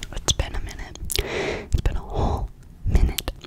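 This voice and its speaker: In a whisper, the woman goes along at a fairly unhurried pace. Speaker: ASMR creator. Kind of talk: ASMR whisper ramble. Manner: whispered. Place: home room. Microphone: studio mic.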